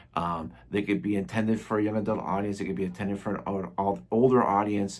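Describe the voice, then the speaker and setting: A man talks at a fairly quick pace in an ordinary speaking voice. His pitch sits fairly low. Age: 60s. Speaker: comics reviewer. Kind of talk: casual video review. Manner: casual, with many fillers.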